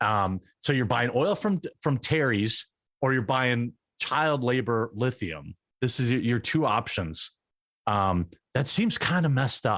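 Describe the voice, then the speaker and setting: A man with a normal speaking voice talks fairly slowly at a medium pitch, with lively intonation and very even loudness, in a very clean, dry, close recording with a silent background and no echo. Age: 30s. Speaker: political commentator YouTuber. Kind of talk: casual interview chat. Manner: casual, filler-heavy.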